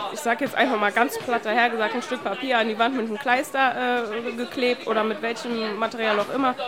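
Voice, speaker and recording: Amid crowd noise and audible room echo, a woman with a fairly high voice speaks with fairly even intonation and hardly any pauses. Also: fairly quick pace. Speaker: youth worker and street art festival organiser. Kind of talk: interview. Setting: outdoor event.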